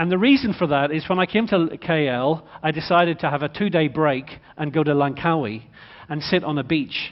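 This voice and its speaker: A man with an Irish accent speaks at a fairly quick pace, his fairly high pitch moving with ordinary variation. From Ireland. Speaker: motorsport executive speaker. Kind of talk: conference talk. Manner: animated.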